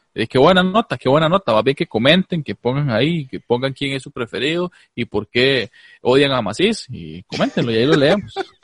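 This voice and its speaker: A man with a Costa Rican accent talks at a fairly quick pace in a fairly high, somewhat breathy voice with very wide pitch swings. The background is quiet, and the sound is dry and close with no echo. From Costa Rica, Alajuela. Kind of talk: casual comedic chat, live-streamed. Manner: animated.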